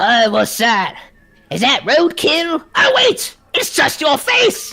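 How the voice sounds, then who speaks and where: In a put-on character voice, the high pitch makes very wide swings while the delivery moves at a very slow pace. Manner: nagging, mocking.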